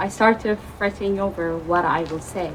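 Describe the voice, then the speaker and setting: A woman with a non-native accent speaks fairly slowly at a medium pitch against noticeable background noise. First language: not English. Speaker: open mic poet. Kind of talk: poetry reading. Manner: halting.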